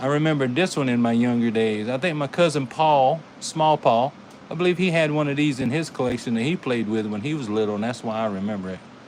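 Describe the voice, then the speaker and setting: Speaking very fast in an animated tone, a man with a Carolina accent holds a medium pitch and ordinary pitch variation. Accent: Carolina twang. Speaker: toy car collector and YouTuber. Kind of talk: live stream commentary. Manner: casual, animated.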